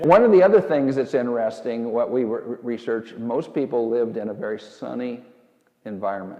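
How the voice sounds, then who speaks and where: A man's normal speaking voice at medium pitch, fairly quick in pace, with ordinary pitch variation. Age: 60s. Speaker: former farmer and rancher, health researcher. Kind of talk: interview.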